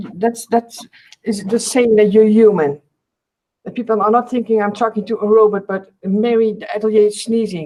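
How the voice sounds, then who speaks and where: Speaking at a moderate pace, a woman with a Dutch accent has a dark, mellow tone, a fairly high pitch and fairly even intonation. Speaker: artist, video co-host. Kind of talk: casual chat. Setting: video call.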